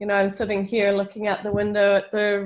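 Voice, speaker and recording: Against a quiet background, a woman talks with a New Zealand accent. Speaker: professor. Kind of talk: lecture.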